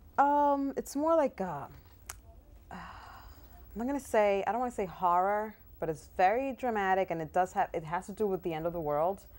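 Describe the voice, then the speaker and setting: A woman speaks with a Spanish accent at a medium pitch and a moderate pace. Her pitch swings very widely, and she takes long, frequent pauses. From Dominican Republic, Santo Domingo, moved to US at ten. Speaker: actress. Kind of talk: interview. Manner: hesitant, many fillers.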